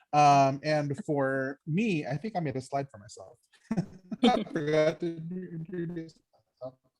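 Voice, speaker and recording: A man speaks at a fairly slow pace with long, frequent pauses and big swings in loudness, his fairly high voice showing ordinary pitch variation. Music plays in the background. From Norfolk, Virginia (born in the Philippines). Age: 30s. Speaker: teaching artist. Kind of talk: panel discussion.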